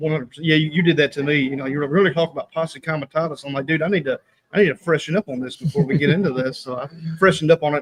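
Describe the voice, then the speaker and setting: A man's fairly high, somewhat breathy voice with a slight Southern US accent, fairly even intonation and a very fast pace, in a dry, close sound with no echo. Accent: slight southern rural. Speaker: online prophecy ministry writer. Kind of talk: casual chat.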